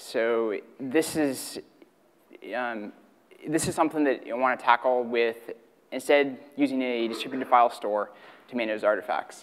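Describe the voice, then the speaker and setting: At a moderate pace, a man speaks with fairly even intonation and long, frequent pauses. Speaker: conference presenter. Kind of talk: technical talk. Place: hall. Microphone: podium.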